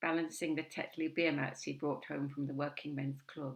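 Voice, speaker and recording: Speaking at a moderate pace with an English accent, a woman uses a very deep, low pitch, vocal fry and monotone, flat intonation. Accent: received pronunciation. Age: 70s. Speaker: spoken word poet. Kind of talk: spoken word performance.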